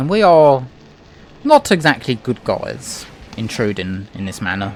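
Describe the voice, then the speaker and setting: Noticeable background noise sits behind a man speaking at a fairly slow pace and medium pitch. His pitch swings very widely and his loudness shifts a lot. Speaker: gaming let's play commentator. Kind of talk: gameplay commentary. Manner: casual, conversational.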